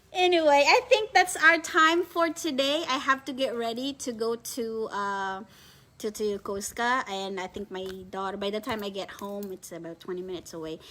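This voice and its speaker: In a Filipino accent, the speaker talks at a moderate pace with a bright, sharp tone, very wide pitch swings and big swings in loudness. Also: woman, fairly high pitch for a woman. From Philippines. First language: Filipino language. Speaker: online reseller business owner. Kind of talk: live stream chat. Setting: live video stream. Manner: halting.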